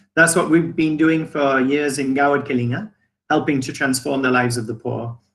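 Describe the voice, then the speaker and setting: Bright and sharp in tone, a man speaks at a fairly high pitch with ordinary pitch variation. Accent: English. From England. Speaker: business owner. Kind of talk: testimony. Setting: video call.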